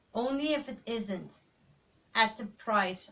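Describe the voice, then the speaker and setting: A woman with a Dutch accent, at a fairly slow pace and with ordinary pitch variation. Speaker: aspiring writer, vlogger. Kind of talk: personal vlog monologue.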